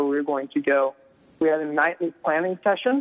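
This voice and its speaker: A man speaks in an ordinary speaking voice, pitched fairly high. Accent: American. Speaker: former missionary. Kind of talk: interview.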